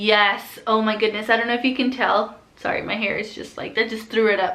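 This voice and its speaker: At a moderate pace, a woman speaks with a fairly high pitch amid audible room echo. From Southern California. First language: Spanish. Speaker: flight attendant vlogger. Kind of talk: casual Q&A vlog. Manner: casual, filler-heavy.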